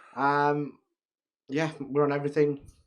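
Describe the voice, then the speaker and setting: A man speaks with a British accent. His pitch is fairly high, and his pace is moderate. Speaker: podcast co-host. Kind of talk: casual chat.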